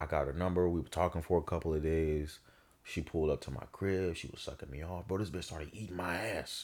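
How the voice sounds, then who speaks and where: A man with a very deep, low pitch talks at a very fast pace in an animated tone. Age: 20s. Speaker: podcast co-host. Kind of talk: casual chat. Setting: home studio room.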